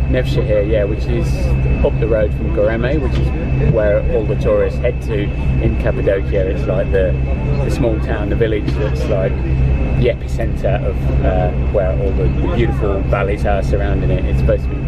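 Over music in the background, a man talks at a moderate pace. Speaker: travel vlogger. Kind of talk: casual vlog chat. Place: bus. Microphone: phone near.

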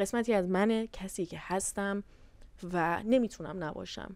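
A woman at medium pitch and a moderate pace, with fairly even intonation and a dry sound with no echo. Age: 20s. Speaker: YouTuber and university student; YouTuber. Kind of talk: casual Q&A vlog. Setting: hotel room on vacation. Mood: candid, reflective. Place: home room. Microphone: lapel.

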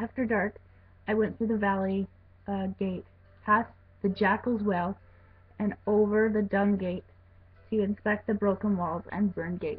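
Speaking at a moderate pace, a woman sounds somewhat breathy and leaves long, frequent pauses. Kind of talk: reading scripture aloud. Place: home room. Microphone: webcam.

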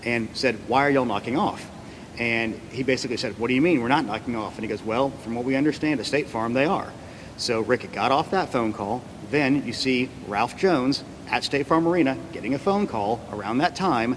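The speaker moves at a fairly quick pace with ordinary pitch variation. Light background noise can be heard. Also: man. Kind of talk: press conference statement. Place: hall. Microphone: podium.

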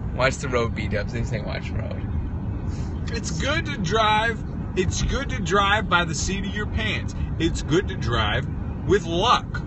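A man speaks in a dry sound with no echo, against loud background noise. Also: fairly slow pace. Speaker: livestreamer. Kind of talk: casual livestream chat. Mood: playful, laughing. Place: car. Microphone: phone near.

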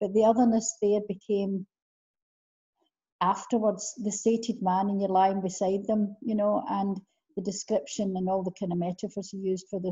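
In a Scottish accent, a woman speaks at a fairly quick pace with a medium pitch, a somewhat breathy voice and flat, monotone intonation over a quiet background. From Scotland. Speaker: interviewer. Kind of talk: interview question. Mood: warm, enthusiastic. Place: home room. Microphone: video call.

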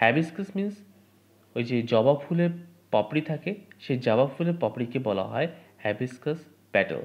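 With lively intonation and a fairly high pitch, a man speaks in a normal speaking voice. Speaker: English teacher. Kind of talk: lecture.

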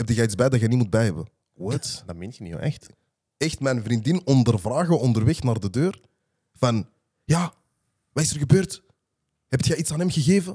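A man speaks at a moderate pace with a dark, mellow, somewhat breathy tone and very wide pitch swings. He leaves long, frequent pauses against a quiet background. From Antwerp, Belgium (Borgerhout); Antwerp, Belgium. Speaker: rapper; podcast guest. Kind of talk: casual chat. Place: studio. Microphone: studio mic.

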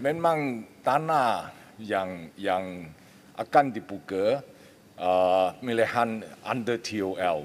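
A man speaks at a very slow pace in a fairly low voice. His intonation is lively. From Malaysia. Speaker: member of parliament. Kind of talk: parliamentary interjection. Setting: parliament chamber. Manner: halting. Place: hall. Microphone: podium.

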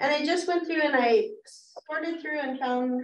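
A woman is speaking. Her intonation is lively. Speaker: adult education teacher. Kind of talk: conference presentation. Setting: room with live audience and Zoom viewers.

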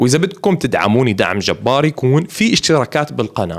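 The pace is fairly quick. A man is the one speaking. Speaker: YouTube cartoon reviewer. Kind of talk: casual commentary and channel outro. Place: home room. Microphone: studio mic.

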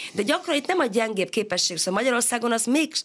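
A woman speaks with very wide pitch swings. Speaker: education researcher and sociologist. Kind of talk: radio interview.

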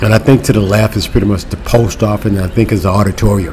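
There is light background noise. A man talks at a fairly low pitch. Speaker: travel vlogger. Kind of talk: casual vlog chat. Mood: relaxed, cheerful. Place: street. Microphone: phone near.

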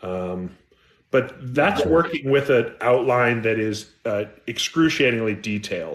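A man's lively intonation, fairly slow pace, and American accent. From California. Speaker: mystery and thriller author; guest. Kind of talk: interview. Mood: relaxed, modest. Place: home room. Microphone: video call.

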